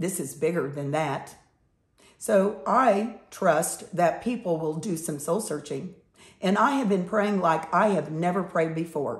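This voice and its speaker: A woman with an American accent speaks fairly slowly in a fairly low, somewhat breathy voice with lively intonation. Audible room echo surrounds her. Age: 70s. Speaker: political commentator. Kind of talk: opinion monologue.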